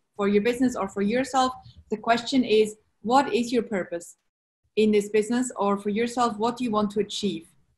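Against a quiet background, a woman with a Swiss accent speaks at a moderate pace, somewhat breathy and fairly high-pitched, with ordinary pitch variation. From Switzerland. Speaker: entrepreneur, brand strategist. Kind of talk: interview answer. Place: home room. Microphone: video call.

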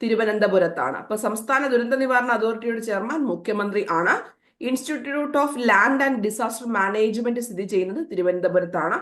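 Fairly high female pitch in a plain, everyday voice, with ordinary pitch variation. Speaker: exam coaching teacher. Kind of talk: lecture.

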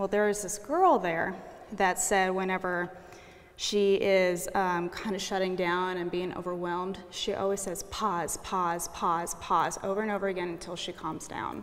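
A woman with an American accent talks at a moderate pace in a monotone, flat intonation. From Kansas. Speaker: art student. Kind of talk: interview. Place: hall. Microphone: lapel.

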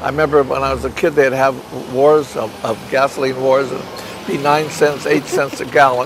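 With an American accent, a man talks at a moderate pace in a flat monotone, the sound dry with no echo and the background noise noticeable. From Los Angeles. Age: 80s+. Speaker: puppeteer. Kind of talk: interview answer. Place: street.

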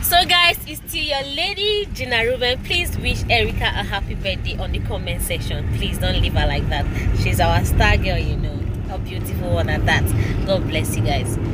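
Loud background noise surrounds the moderate-paced speech, and the sound is dry with no echo. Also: woman. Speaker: entertainment vlogger. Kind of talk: casual vlog chat. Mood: warm, cheerful.

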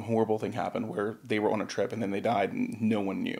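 The background stays quiet. A man delivers his words fairly quickly. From Louisiana, US South. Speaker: psychic medium. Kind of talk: casual interview. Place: studio. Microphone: studio mic.

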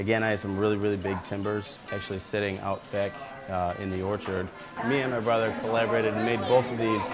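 Clear music plays in the background as a man talks at a very fast pace. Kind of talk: interview answer. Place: bar.

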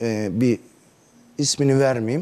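Dark and mellow in tone, a man speaks at a moderate pace with ordinary pitch variation. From Turkey, Isparta; Turkey. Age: 40s. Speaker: neighbourhood headman; interview guest. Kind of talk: TV interview. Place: studio. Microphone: lapel.

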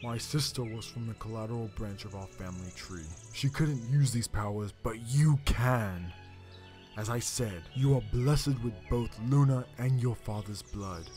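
A man speaks in a put-on character voice. Clear music plays in the background. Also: medium pitch for a man, moderate pace. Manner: earnest, commanding.

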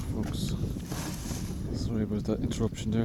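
Dry sound with no echo against loud background noise. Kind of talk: casual commentary. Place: boat. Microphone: phone near.

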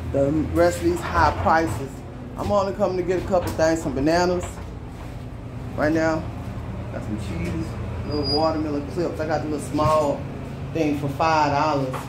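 A man at a moderate pace with ordinary pitch variation and long, frequent pauses, over loud background noise. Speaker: shopper vlogger. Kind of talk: casual vlog chat. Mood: irritated, complaining about prices. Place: shop. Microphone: phone near.

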